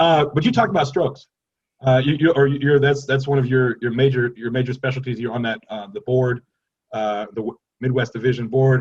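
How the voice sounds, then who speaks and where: Medium-pitched male speech, somewhat breathy and fairly quick, with ordinary pitch variation. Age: 40s. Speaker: panel moderator. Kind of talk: panel discussion.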